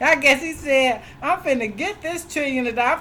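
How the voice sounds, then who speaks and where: A woman speaks in a raised, projected voice at a high pitch, with an animated tone, lively intonation and a fairly quick pace. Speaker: self-represented litigant and ministry video host. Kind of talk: casual vlog update.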